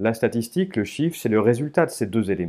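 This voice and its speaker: In a very clean recording with a silent background, a man speaks at medium pitch with a dark, mellow tone and lively intonation. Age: 30s. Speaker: statistician and author. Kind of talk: interview. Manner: frequent hesitations (euh).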